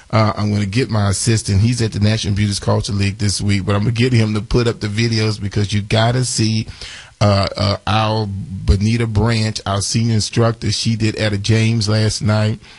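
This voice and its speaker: A somewhat breathy voice at a fairly quick pace, with monotone, flat intonation. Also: man, fairly low pitch for a man. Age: 40s. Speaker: radio host, beauty school owner. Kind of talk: radio show announcements.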